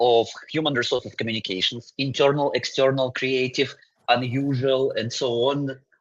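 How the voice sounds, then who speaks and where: The speaker has a Russian accent and talks at a moderate pace. The sound is dry and close, with no echo. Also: man. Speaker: agency creative director. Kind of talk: webinar conversation.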